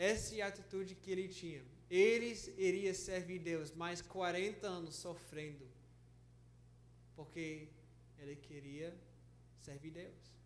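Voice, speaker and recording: With audible room echo, a man talks in fairly even intonation, with big swings in loudness and long, frequent pauses. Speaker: pastor and missionary. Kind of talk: sermon. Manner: halting, frequent self-corrections.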